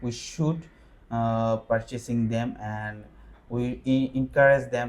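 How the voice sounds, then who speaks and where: A man at medium pitch, very slow, with fairly even intonation. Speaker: IELTS test candidate. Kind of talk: mock speaking exam. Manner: halting, many fillers.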